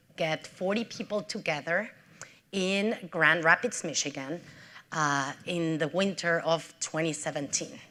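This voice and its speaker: On a very clean recording with a silent background, a woman with a strong Mexican accent speaks very slowly at a fairly low pitch, her bright, sharp tone showing ordinary pitch variation. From Mexico City, Mexico. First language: Spanish. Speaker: nonprofit CEO. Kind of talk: public talk.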